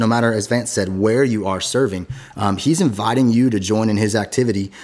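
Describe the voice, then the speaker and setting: Using a plain, everyday voice, a man with an American accent speaks at a fairly low pitch and a moderate pace with ordinary pitch variation. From US West Coast. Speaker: podcast host and pastor. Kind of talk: interview. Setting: studio.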